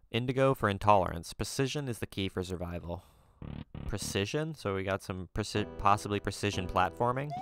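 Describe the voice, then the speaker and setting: Music plays behind a man talking in a fairly low voice. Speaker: let's play gamer. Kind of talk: gameplay commentary. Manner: halting, many fillers.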